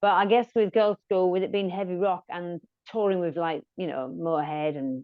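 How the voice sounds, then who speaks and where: A woman speaks in a Yorkshire accent at a fairly low pitch. Her pace is moderate, with ordinary pitch variation. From Yorkshire, northern England. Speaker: rock musician. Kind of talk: interview.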